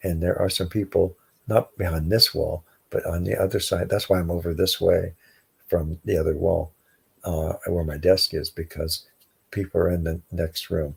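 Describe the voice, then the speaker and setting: A man puts on a quiet, raspy character voice pitched very deep and low, speaking at a moderate pace. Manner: quiet, low voice.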